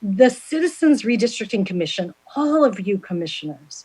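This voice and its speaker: The woman's voice has a medium pitch. It sounds somewhat breathy. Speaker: census outreach official presenting to commission. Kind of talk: presentation to public commission meeting. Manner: fast.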